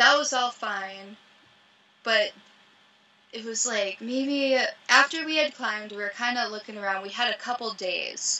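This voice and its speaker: A woman with an American accent, fairly high pitch, ordinary pitch variation and a moderate pace. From US Midwest (Ohio, farm). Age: 30s. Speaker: professional mountaineer. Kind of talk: casual chat. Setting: video call from her van. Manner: animated. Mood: relaxed, casual. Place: home room. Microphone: video call.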